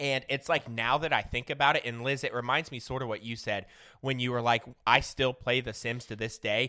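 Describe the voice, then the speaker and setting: A man with an American accent, medium pitch, bright, sharp tone, fairly quick pace and fairly even intonation, on a very clean recording with a silent background. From Southern Illinois, US. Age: 30s. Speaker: podcast guest. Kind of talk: casual chat.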